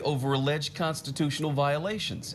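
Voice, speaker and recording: This man's voice has a somewhat breathy quality. He speaks fairly quickly. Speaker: TV news anchor and reporter. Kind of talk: TV news anchor delivery.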